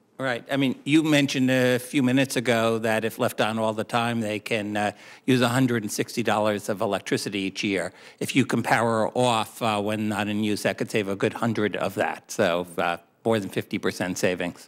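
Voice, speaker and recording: On a very clean recording with a silent background, a man with an unremarkable speaking voice and medium pitch talks at a moderate pace with fairly even intonation. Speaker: expert witness testifying at the hearing. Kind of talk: Senate committee hearing answers.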